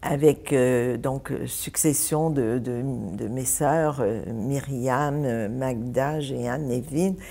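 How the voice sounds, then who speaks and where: At a very slow pace, a woman with a very deep, low pitch and ordinary pitch variation speaks amid audible room echo. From Egypt (Ismailia). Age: 70s. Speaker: church member sharing life story. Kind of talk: interview.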